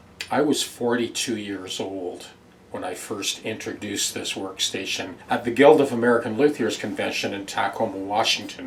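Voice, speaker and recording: A man's medium-pitched voice at a moderate pace, with ordinary pitch variation, big swings in loudness and noticeable background noise. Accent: Canadian. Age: 70s. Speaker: guitar repair technician and former instructor. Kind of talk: casual address to viewers. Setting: workshop.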